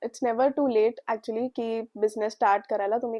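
Monotone and flat in intonation, a woman talks with a fairly high voice. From Mumbai, India. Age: 20s. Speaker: student baker entrepreneur. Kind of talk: interview testimony.

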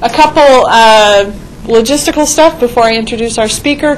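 Over light background noise, an unremarkable speaking voice talks at a moderate pace with ordinary pitch variation. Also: woman. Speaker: university faculty member. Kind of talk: seminar introduction. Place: classroom.

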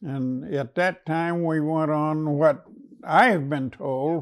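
Quiet surroundings behind a man talking. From United States. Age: 90s. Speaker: WWII veteran, former prisoner of war. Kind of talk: oral history interview answer. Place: studio. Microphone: lapel.

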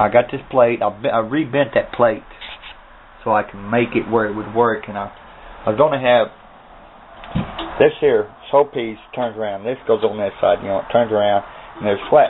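Over light background noise, a man speaks at a moderate pace with fairly even intonation and long, frequent pauses. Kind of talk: casual vlog chat. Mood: relaxed, pleased. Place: workshop. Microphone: phone near.

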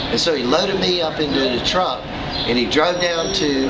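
Loud noise in the background behind a man's moderately paced speech. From US South, Wilmington, North Carolina. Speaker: interviewee recalling childhood during desegregation. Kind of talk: oral history interview.

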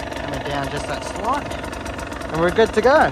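Noticeable background noise can be heard. The sound is dry, with no echo. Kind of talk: casual vlog chat. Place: motorbike. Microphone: phone near.

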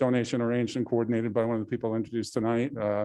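A dark, mellow male voice against a quiet background. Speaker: presenter. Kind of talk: public meeting presentation. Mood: light, joking. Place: hall.

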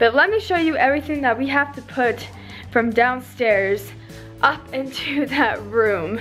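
Faint music plays in the background as a woman speaks in a high pitch at a fairly slow pace. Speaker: vlogger. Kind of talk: casual vlog chat. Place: home room. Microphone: phone near.

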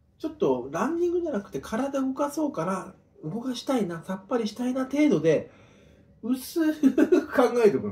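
A man at a moderate pace, with big swings in loudness and very wide pitch swings. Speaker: home vlogger. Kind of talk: casual vlog chat. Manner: loose, rambling drunken speech. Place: home room. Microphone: camera far.

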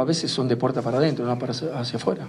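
Ordinary pitch variation marks this man's speech. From Argentina, Rosario; Argentina. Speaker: football club president. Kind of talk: interview; press conference statement. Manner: halting, repeats words. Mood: indignant, forceful criticism. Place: meeting room. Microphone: handheld.

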